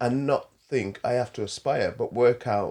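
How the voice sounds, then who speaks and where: Recorded very cleanly against a silent background, a man with a medium pitch talks at a fairly slow pace, an ordinary speaking voice. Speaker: podcast host. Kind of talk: podcast discussion. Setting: studio.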